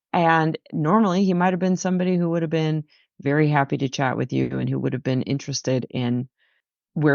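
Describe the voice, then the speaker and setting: Talking at a fairly quick pace, a woman with a very deep, low pitch has a Midwestern American accent. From Missouri, USA. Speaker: coach and consultant. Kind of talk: interview answer.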